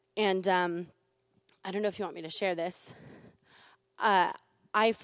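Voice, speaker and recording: A woman's medium-pitched, plain, everyday voice with fairly even intonation. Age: 20s. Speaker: church member sharing testimony. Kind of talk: testimony.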